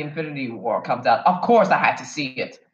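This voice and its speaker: Speaking with an American accent, a man keeps an animated tone at a moderate pace. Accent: sounds American rather than Kenyan. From Kenya. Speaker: YouTuber, film reviewer. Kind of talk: casual vlog commentary.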